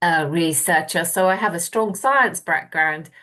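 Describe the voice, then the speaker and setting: A woman speaks at a moderate pace in a bright, sharp tone. Behind her, the background is quiet. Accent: English. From southwest England (Plymouth). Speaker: university lecturer. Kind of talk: lecture. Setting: video call.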